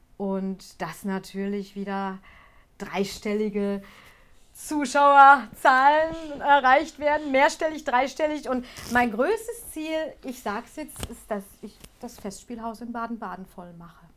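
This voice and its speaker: A woman speaks at a high pitch with lively intonation. Her pace is very slow. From Ruhr area, Germany (Gelsenkirchen). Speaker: ventriloquist and singer. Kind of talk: interview.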